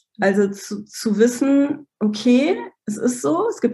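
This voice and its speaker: A woman talks with lively intonation at a fairly high pitch. Her voice is somewhat breathy. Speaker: brand coach. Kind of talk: podcast interview.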